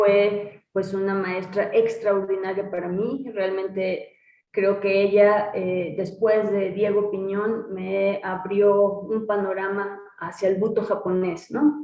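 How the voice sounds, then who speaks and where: Her intonation monotone and flat, a woman talks very slowly at a medium pitch. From Mexico. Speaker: butoh dancer and teacher. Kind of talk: interview answer.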